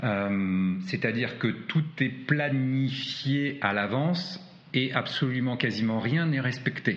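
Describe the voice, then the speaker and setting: A man talks at a very slow pace with lively intonation and very even loudness. The room echo is audible. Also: medium pitch for a man. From France. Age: 40s. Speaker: adventurer and hiker. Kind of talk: interview. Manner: hesitant with frequent fillers.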